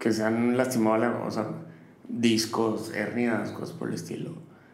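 A man's voice carries audible room echo. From northern Mexico, Matamoros. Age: 30s. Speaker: chef. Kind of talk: interview.

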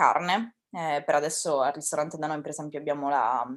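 A woman speaks with a very deep, low pitch. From Sicily, Ragusa. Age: 20s. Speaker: restaurant front-of-house worker. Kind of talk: interview.

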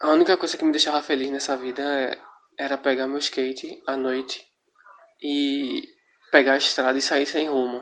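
Long pauses come often throughout. Between them, the talking keeps a moderate pace. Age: 20s. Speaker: skateboarder. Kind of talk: recorded testimony.

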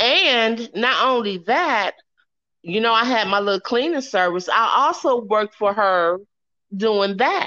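In an American accent, a woman with a fairly high pitch speaks fairly slowly in a normal speaking voice. Her intonation is lively and her loudness very even. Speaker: host's mother. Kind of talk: casual interview.

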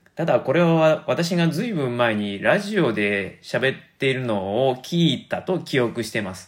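A man with a Kansai accent speaks at a fairly slow pace, with very wide pitch swings and hardly any pauses. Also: medium pitch for a man. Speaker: podcaster. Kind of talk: casual monologue.

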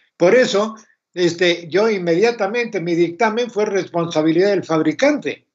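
A man with a high voice speaks at a moderate pace with ordinary pitch variation. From Argentina. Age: 80s+. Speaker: retired electrical engineer, mentor. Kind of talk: casual interview.

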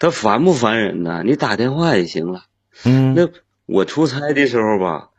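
This man's voice sits at medium pitch with very wide pitch swings. He talks at a moderate pace. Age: 40s. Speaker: caller, sales manager. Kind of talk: call-in conversation.

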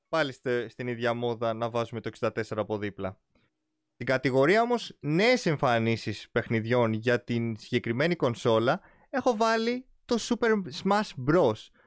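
With a dry, close sound, no echo and a very clean recording over a silent background, a man with an unremarkable speaking voice talks fairly slowly at medium pitch with ordinary pitch variation. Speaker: gaming podcast host. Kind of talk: casual chat.

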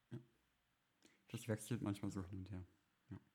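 A quiet, somewhat breathy man's voice with fairly low pitch. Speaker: podcast co-host. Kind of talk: casual chat. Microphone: crackling.

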